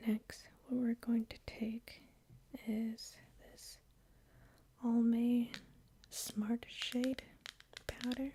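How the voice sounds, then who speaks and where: A soft-spoken woman talks very slowly in a high, flat monotone, with long, frequent pauses and big swings in loudness. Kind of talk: ASMR makeup tutorial, soft talking. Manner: soft-spoken, slow, relaxing.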